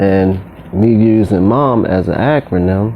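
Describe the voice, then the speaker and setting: Male speech in an American accent, with noticeable background noise. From Baltimore. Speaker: community commentator. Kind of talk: casual talk to camera.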